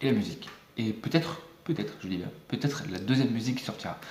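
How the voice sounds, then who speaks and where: Over noticeable background noise and audible room echo, a man talks at a fairly quick pace. His pitch is medium and his intonation is lively. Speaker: YouTuber, music maker. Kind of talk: casual vlog talk. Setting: close to camera, home video. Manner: fast; hesitant, many fillers.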